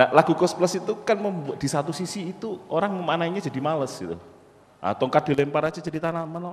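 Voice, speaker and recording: With light background noise behind him, a man talks at a very fast pace in an animated tone with lively intonation. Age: 40s. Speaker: university lecturer and entrepreneur; university lecturer. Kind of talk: motivational talk. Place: hall. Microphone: handheld.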